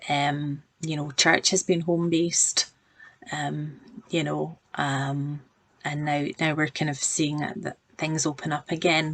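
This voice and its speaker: A woman with a Glaswegian accent speaks at a fairly slow pace in a very deep, low pitch with monotone, flat intonation. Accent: Glaswegian, noticeable. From Scotland, Glasgow. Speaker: project manager giving a church devotional. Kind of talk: devotional talk to camera. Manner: halting, many fillers.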